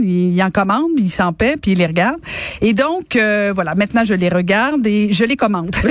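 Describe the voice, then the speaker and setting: With a normal speaking voice, a woman speaks at a moderate pace and medium pitch, her intonation lively and her loudness very even. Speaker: radio co-host. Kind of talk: casual chat about news.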